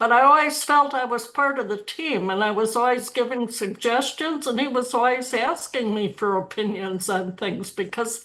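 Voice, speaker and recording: A woman with an American accent talks at a high pitch, hardly pausing at all. Her tone is bright and sharp. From US Midwest, Minnesota. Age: 80s+. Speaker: retired university administrator. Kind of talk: panel discussion.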